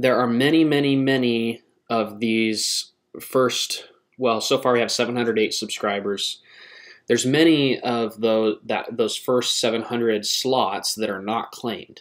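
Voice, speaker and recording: At a very slow pace, a man speaks over a quiet background. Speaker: channel host. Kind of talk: casual vlog chat. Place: home room. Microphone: webcam.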